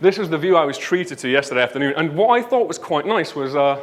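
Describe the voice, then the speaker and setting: Lively intonation carries this voice, spoken with a northern English accent. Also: man. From northern England, Leeds. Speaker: conference speaker, web developer. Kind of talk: conference talk. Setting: stage with audience.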